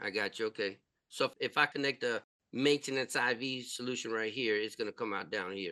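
A man speaks at a medium pitch and a fairly quick pace, with ordinary pitch variation. His tone is bright and sharp, and the sound is dry and close with no echo. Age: 50s. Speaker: nurse and podcast host. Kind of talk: casual interview chat.

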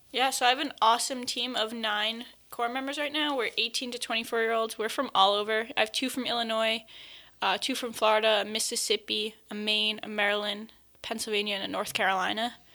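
Over a very clean recording with a silent background, a woman with a fairly high pitch and a bright, sharp tone speaks at a fairly quick pace with fairly even intonation. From Long Island, New York. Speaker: AmeriCorps team leader. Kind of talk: interview.

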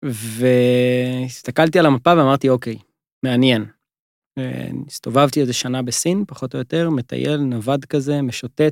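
A man talks at a fairly slow pace in an unremarkable speaking voice, medium in pitch with fairly even intonation. The sound is dry and close, with no echo. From northern Israel, Givat Ela. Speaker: travel company co-founder. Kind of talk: interview conversation.

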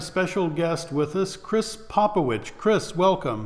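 A man with a high voice talks at a fairly slow pace over noticeable background noise. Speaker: theater artistic director and podcast host. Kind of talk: casual interview chat.

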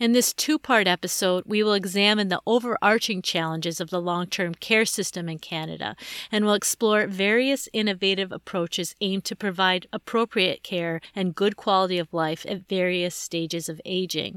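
A woman speaks in an unremarkable speaking voice at a medium pitch, with ordinary pitch variation and a moderate pace. There are hardly any pauses, and the recording is very clean, dry and close, with a silent background and no echo. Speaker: podcast host. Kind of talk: scripted intro and interview questions.

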